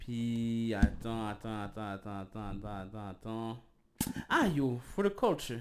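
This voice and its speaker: A man talks at a very slow pace with a medium pitch. His loudness swings widely. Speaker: podcast co-host. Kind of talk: casual chat. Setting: live stream.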